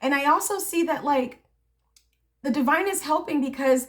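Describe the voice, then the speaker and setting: A woman with lively intonation at a moderate pace. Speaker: tarot reader. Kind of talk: tarot reading. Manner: halting, repeats words.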